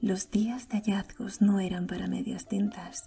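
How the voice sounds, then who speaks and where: A soft-spoken woman whispers at a fairly slow pace. Music plays in the background. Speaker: audiobook narrator / ASMR creator. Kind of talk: soft-spoken audiobook reading for sleep. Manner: soft, whispered, relaxing.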